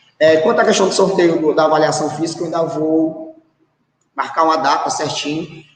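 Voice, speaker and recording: Speaking at a fairly quick pace, a man uses a high voice. There is audible room echo. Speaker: physical education teacher. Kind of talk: online class lecture. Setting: live online class, alone in a room. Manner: fast; halting, many filler sounds.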